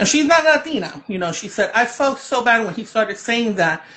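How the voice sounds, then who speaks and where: A woman's fairly high voice with very wide pitch swings over noticeable background noise. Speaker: children's book author. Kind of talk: interview. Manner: loud; animated.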